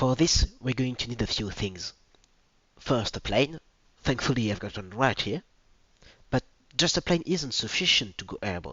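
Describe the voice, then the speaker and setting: The speaker talks with a strong French accent and lively intonation. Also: man. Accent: French accent, self-described as strong. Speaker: video presenter. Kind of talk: educational presentation.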